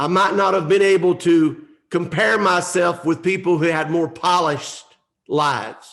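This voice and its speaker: In an American accent, a high-pitched man speaks at a fairly slow pace with fairly even intonation and very even loudness. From US South, North Georgia mountains. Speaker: motivational speaker. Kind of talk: motivational speech.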